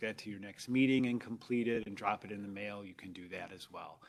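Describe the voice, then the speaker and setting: Soft-spoken, this man talks at a medium pitch. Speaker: public agency staff official. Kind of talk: public board meeting.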